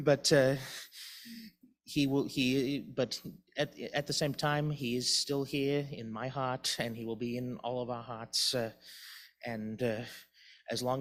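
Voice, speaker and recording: A man with a Boston accent speaks at a medium pitch and a fairly slow pace. His intonation is fairly even, on a very clean recording with a silent background. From Boston, US. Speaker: memorial service speaker. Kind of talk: eulogy. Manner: halting, many false starts.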